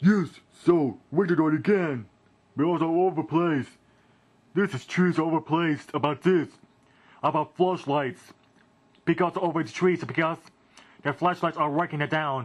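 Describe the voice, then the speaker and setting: A man's cartoonish character voice, fairly high in pitch, at a moderate pace broken by long, frequent pauses. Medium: puppet.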